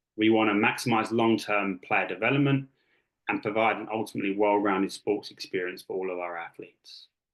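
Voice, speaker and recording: In an English accent, a man talks at a fairly quick pace and a fairly low pitch, with fairly even intonation. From England (Kent). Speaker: youth sports coach and technical director. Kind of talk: presentation. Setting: video call. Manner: many fillers (um, uh).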